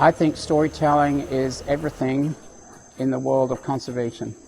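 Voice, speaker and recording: Against noticeable background noise, a man talks at a moderate pace with medium pitch and fairly even intonation. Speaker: environmental educator and tour guide. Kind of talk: interview answer.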